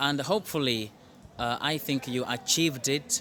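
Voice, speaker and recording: Ordinary in pitch variation and moderate in pace, a man talks in a plain, everyday voice with a fairly high pitch. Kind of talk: interviewer questions.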